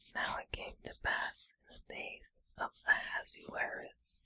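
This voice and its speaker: A woman's whisper, very slow and in a gentle, soothing tone. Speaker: ASMR creator. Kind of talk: soft-spoken Bible reading for relaxation. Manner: soft, gentle, soothing.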